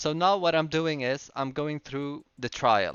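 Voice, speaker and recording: The speaker is a man with a non-native accent. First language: not English. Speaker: gaming video creator. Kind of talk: game tutorial with live commentary. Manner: halting with fillers and restarts; casual.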